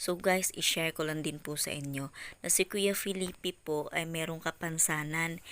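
The tone is bright and sharp at a moderate pace, in a very clean recording with a silent background. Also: woman. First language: Cebuano (Bisaya) (speaking Tagalog). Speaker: vlogger. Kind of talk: casual vlog narration.

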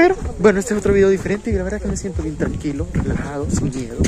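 Over loud background noise, a man speaks at a very fast pace, the sound dry with no echo. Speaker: vlogger. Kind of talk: casual vlog chat. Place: street. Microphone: phone near.

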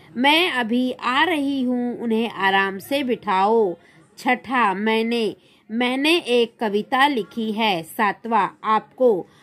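Speaking at a very slow pace, a woman talks in a fairly high pitch. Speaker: teacher. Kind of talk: lesson.

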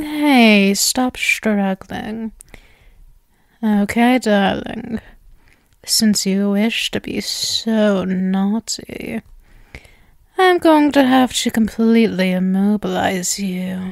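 In a put-on character voice at medium pitch, a woman speaks quietly at a very slow pace with long, frequent pauses. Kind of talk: ASMR roleplay, soft close-mic. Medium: audio drama. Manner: sweet, possessive, teasing, quietly menacing.

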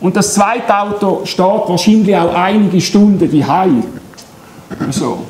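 A man with a Swiss accent speaks in a high voice. The room echo is audible, with light background noise. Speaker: solar energy company head. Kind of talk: public lecture. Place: hall. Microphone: camera far.

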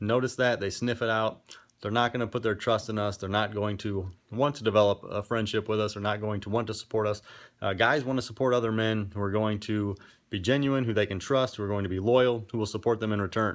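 Very fast speech from a man with fairly low pitch and fairly even intonation, over a quiet background. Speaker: men's coaching blogger. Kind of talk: casual vlog talk. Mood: earnest, serious. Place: gym. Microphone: phone near.

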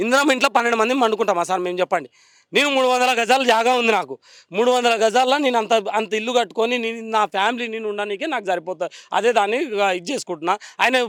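On a very clean recording with a silent background, the speaker talks with a Telangana accent and ordinary pitch variation. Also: man, extremely high pitch for a man. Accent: Telangana Telugu. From Telangana, Vikarabad district. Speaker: demolition victim, resident. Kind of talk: emotional street interview. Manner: agitated, pleading.

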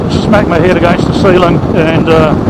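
Loud background noise sits under a dry sound with no echo. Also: man. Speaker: motorcycle rider vlogger. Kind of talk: casual vlog chat. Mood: calm, slightly rueful. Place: motorbike. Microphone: helmet.

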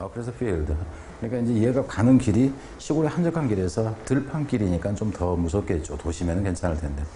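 Over light background noise, a man with a dark, mellow, somewhat breathy tone talks very fast, his pitch swinging very widely. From South Korea. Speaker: English teacher. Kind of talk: lecture. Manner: casual. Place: studio.

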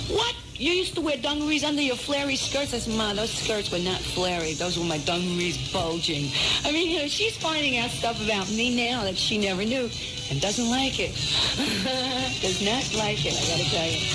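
Moderately paced female speech against loud background noise. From New York City. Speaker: rock singer and record producer. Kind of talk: radio interview answer. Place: studio. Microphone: old recording.

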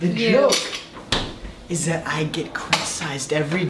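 A man talks at a moderate pace. Loud background noise runs beneath him. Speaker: vlogger. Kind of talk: casual vlog chat. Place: kitchen. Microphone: camera far.

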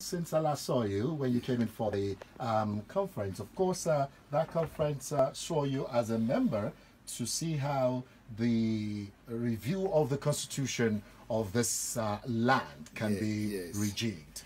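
A man's lively intonation with a Nigerian accent at a fairly slow pace, over light background noise. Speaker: radio host. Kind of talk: radio interview. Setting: studio. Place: studio.

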